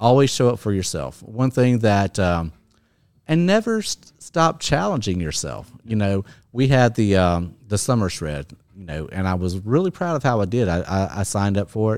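In a very clean recording with a silent background, a man with an unremarkable speaking voice talks at a moderate pace in a fairly low pitch with lively intonation. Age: 50s. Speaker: gym client sharing fitness journey. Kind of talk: interview.

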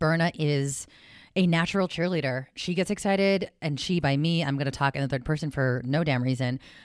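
On a very clean recording with a silent background, a woman with a West Coast accent talks at a very fast pace in an animated tone, her pitch very deep and low with ordinary variation. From South San Francisco, California. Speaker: personal finance coach. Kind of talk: casual interview chat.

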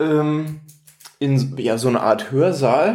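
A man's fairly high, somewhat breathy voice with audible room echo. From northern Germany, Lower Saxony near Bremen. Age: 20s. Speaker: podcast co-host. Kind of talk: casual chat.

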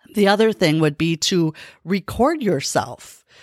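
Very slowly and with lively intonation, a woman with a fairly low pitch speaks in a dry, close sound with no echo. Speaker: podcast host and coach. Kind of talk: solo motivational talk, pep talk. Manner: energetic, urgent, encouraging, emphatic.

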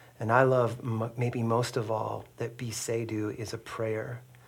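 A man speaks at a fairly slow pace in a medium pitch, his somewhat breathy voice staying monotone and flat. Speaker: podcast co-host interviewer. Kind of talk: casual interview conversation.

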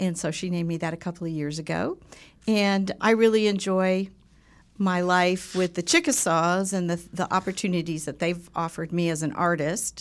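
An ordinary speaking voice from a woman with an American accent, fairly low in pitch, fairly even in intonation, at a moderate pace, in a very clean recording with a silent background. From Southern California. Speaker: podcast co-host. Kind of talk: casual chat. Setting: studio.

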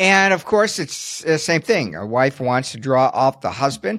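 A man's unremarkable speaking voice at medium pitch, lively in intonation and moderate in pace, on a very clean recording with a silent background. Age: 60s. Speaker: podcast co-host and Social Security instructor. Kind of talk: casual informative podcast chat. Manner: conversational, informal.

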